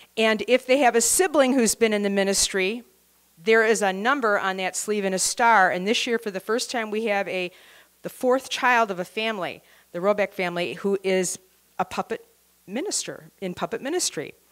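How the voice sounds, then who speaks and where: Over a quiet background, a woman speaks at a moderate pace with ordinary pitch variation. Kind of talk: show introduction to audience. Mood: warm, grateful. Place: hall. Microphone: handheld.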